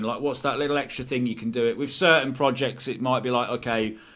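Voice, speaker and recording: A man talks in a Lincolnshire accent. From Stamford, Lincolnshire, England. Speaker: inventor and YouTuber. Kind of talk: casual chat.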